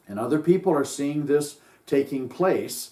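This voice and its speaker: The pace is moderate. This is a normal speaking voice. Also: man. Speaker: sheriff candidate. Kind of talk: political campaign talk to camera.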